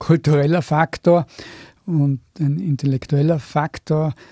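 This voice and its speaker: A man's fairly high, somewhat breathy voice with a dark, mellow tone and fairly even intonation, dry and close with no echo. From Austria, Tyrol (Innsbruck). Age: 70s. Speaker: university rector, physicist. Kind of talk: radio interview.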